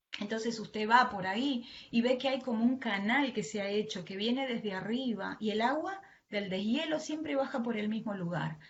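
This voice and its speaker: A woman's fairly high voice with ordinary pitch variation and audible room echo. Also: moderate pace. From Argentina. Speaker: preacher and mental health worker. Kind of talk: sermon. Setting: online live stream from home.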